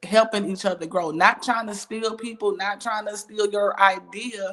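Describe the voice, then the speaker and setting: A woman speaks loudly at a medium pitch. Her tone is animated and her pace moderate. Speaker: church elder and business coach hosting a talk show. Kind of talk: casual interview chat.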